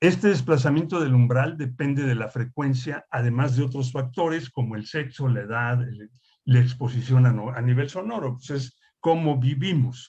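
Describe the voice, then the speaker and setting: At a moderate pace, a man with a somewhat breathy, medium-pitched voice speaks with ordinary pitch variation. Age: 60s. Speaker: industrial hygienist instructor. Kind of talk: lecture. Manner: conversational, with fillers.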